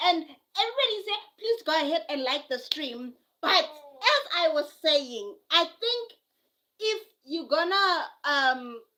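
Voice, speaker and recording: A woman's raised, projected voice with a South African accent, very wide pitch swings and music in the background. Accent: South African (Zulu). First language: Zulu. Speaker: live streamer. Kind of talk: casual live stream chat. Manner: repetitive, halting.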